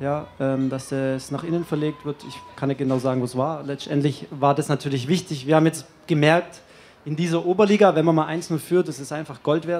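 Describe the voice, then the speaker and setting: Here a man speaks at a fairly quick pace. His pitch is fairly high and his intonation fairly even. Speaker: player-coach of football team. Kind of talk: press conference. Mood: calm, content. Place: hall. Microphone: podium.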